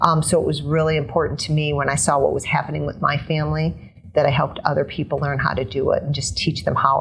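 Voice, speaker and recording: With noticeable noise in the background, a woman talks very fast. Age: 50s. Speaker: fitness trainer. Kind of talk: interview answer.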